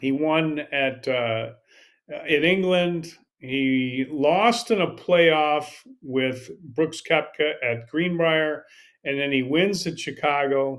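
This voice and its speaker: A man with a fairly high pitch talks at a very slow pace, his pitch varying in an ordinary way. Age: 60s. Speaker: golf podcast host. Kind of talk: casual commentary. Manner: halting, with repeated words.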